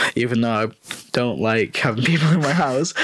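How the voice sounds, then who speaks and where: Over noticeable background noise, a man with a North West English accent talks at a fairly quick pace, medium in pitch, with ordinary pitch variation. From North West England, rural. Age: 20s. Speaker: postgraduate student. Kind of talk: casual chat.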